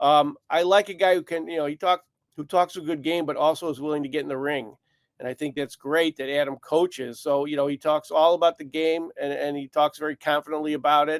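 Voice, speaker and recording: Recorded with a dry, close sound and no echo, a man with a fairly high voice talks at a fairly quick pace and fairly even intonation. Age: 60s. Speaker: sportswriter. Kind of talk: casual chat. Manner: halting.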